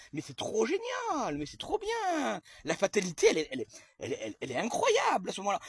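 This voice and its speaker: The sound is dry and close, with no echo. A man speaks in an animated tone. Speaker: comedian telling a sketch story. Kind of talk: storytelling monologue to camera. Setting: outdoors in own garden. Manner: fast; animated, sarcastic exclamations.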